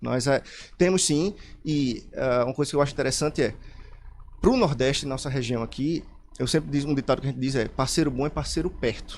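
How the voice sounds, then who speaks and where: Fairly high-pitched, a man talks at a fairly quick pace with ordinary pitch variation, broken by long, frequent pauses. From Pernambuco, Brazil. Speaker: computer science specialist. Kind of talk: radio interview.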